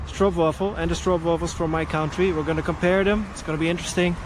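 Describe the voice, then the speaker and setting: Amid noticeable background noise and audible room echo, a man talks at a fairly quick pace with a Dutch accent. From Netherlands. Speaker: travel vlogger. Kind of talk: casual vlog talk to camera. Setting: outdoors, cycling through town. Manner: hesitant, many fillers.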